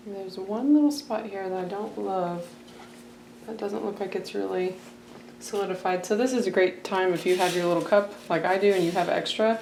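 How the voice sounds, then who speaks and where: There is noticeable background noise and audible room echo. A woman talks at a moderate pace at a medium pitch. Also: ordinary pitch variation. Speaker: sewing tutorial creator. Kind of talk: tutorial. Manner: casual.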